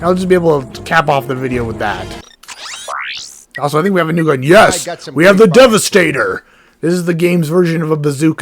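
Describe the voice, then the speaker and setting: Music plays in the background as a man with a fairly high pitch talks at a fairly quick pace with lively intonation. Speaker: let's play gamer. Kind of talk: casual gameplay commentary.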